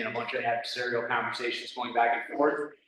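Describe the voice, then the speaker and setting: Audible room echo follows a man as he talks at a fairly quick pace. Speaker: plan commission member. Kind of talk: public meeting discussion. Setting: town meeting at fire department. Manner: loud; halting.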